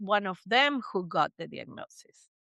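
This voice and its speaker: Lively intonation carries a woman's Spanish accent at a fairly slow pace, over a quiet background with a dry, close sound and no echo. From Argentina, Buenos Aires. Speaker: psychotherapist. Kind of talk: interview. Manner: animated.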